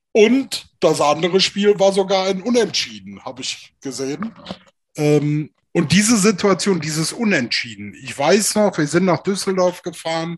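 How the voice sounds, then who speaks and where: Pitched high for a man, this speaker uses lively intonation at a fairly slow pace. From Rhineland, Germany (Alfter near Bonn). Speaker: former American football player. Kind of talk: casual interview.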